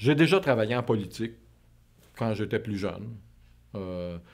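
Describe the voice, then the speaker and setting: A man speaks with a Quebec accent and ordinary pitch variation. The background is quiet. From Quebec, suburbs outside Montreal. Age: 50s. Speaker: interviewee. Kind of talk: interview. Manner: halting, many repetitions and fillers. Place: studio.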